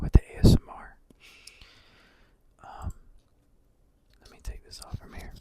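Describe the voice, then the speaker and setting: Someone is whispering. The pace is fairly slow. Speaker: student. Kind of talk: ASMR study-with-me talk. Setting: bedroom. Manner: whispered.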